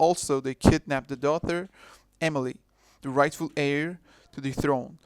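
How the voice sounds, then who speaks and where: The speaker has a non-native accent and keeps a moderate pace. The recording is very clean, with a silent background. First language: not English. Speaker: video essayist. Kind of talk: video essay narration. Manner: halting.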